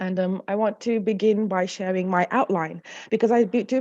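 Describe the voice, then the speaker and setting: Against a quiet background, a woman talks fairly quickly at a medium pitch, with a dark, mellow tone and fairly even intonation. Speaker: academic conference speaker. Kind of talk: conference presentation. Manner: hesitant with frequent fillers.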